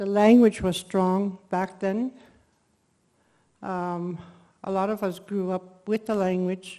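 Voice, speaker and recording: Her voice is dark and mellow at a medium pitch, flat and monotone in intonation. The woman talks at a very slow pace with long, frequent pauses over a quiet background. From Dene First Nation, Canada. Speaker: elder, conference participant. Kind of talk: personal testimony. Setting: conference.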